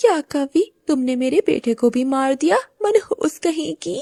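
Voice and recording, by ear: A woman puts on a character voice at a high pitch, with a dark, mellow tone, vocal fry, and lively intonation. She speaks at a fairly slow pace in a dry, close sound with no echo.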